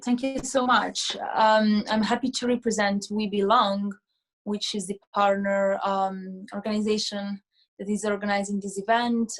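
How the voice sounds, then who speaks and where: A woman's somewhat breathy voice with fairly even intonation. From Italy. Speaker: nonprofit co-founder. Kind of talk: panel discussion.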